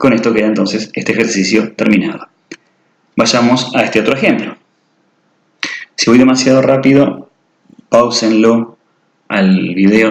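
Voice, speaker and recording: Medium-pitched male speech with fairly even intonation. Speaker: math teacher. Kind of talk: tutorial. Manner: fast.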